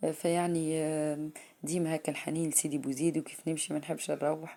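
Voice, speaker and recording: A woman speaks in a very deep, low voice with a dark, mellow tone, on a very clean recording with a silent background. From Tunisia, Sidi Bouzid. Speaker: vlogger. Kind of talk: casual vlog talk to camera. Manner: halting, many fillers.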